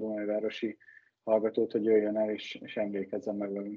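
A man is speaking. His pace is moderate. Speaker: ice hockey player and expert guest. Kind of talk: casual sports discussion.

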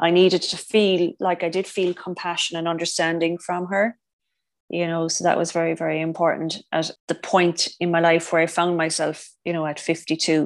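A woman with a fairly low pitch, a strong Irish accent, monotone, flat intonation and a moderate pace. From Ireland. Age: 50s. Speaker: cancer survivor, former nurse. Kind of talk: interview testimony.

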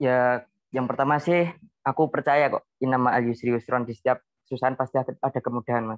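A man in a normal speaking voice, at a moderate pace with fairly even intonation, dry and close with no echo. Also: medium pitch for a man. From Central Java, Semarang Regency. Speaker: university student. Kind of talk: casual interview.

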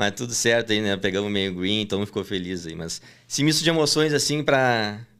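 Here is a man with an ordinary speaking voice, fairly low in pitch and showing ordinary pitch variation. He talks at a fairly quick pace on a very clean recording with a silent background. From southern Brazil, Porto Alegre. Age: 20s. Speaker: sports betting tipster. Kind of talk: casual interview.

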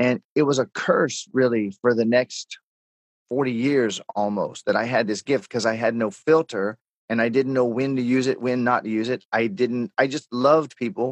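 In an ordinary speaking voice, a man talks at a moderate pace and a medium pitch with ordinary pitch variation. The recording is dry and close, with no echo. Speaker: author and coach. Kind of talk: interview.

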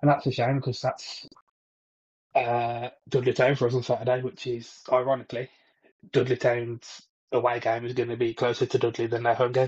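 A man talks at a fairly quick pace in a somewhat breathy voice. His intonation is monotone and flat. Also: medium pitch for a man. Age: 30s. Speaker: football podcast co-host. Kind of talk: casual chat.

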